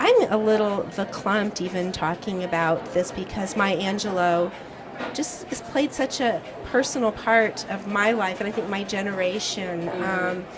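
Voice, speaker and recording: With noticeable background noise behind her, a woman at medium pitch speaks at a fairly slow pace with ordinary pitch variation. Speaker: film festival interviewer. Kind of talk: interview question.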